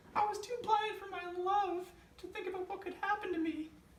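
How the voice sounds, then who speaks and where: In a put-on character voice, a woman squeaks at an extremely high pitch and a fairly quick pace, with monotone, flat intonation, big swings in loudness, and a slight echo. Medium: stage play.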